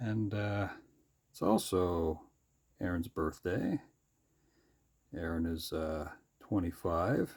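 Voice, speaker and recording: A somewhat breathy man with a very deep, low pitch and ordinary pitch variation, very slow, with long, frequent pauses and big swings in loudness. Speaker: sketchbook artist. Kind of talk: drawing tutorial commentary. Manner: rising, questioning inflection; casual, hesitant with fillers.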